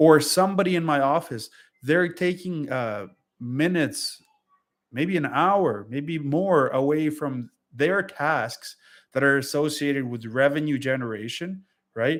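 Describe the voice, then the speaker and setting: A man's fairly high voice, fairly slow pace and ordinary pitch variation, with a non-native accent, on a very clean recording with a silent background. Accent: foreign. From Europe. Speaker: freight broker. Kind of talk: casual vlog advice monologue. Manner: hesitant, many fillers.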